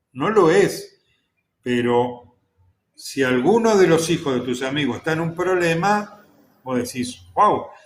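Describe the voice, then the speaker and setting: Speaking with an Argentine accent, a man goes at a very slow pace with lively intonation and long, frequent pauses. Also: fairly high pitch for a man. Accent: Rioplatense Argentine Spanish. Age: 60s. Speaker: expert commentator. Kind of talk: casual chat. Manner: animated.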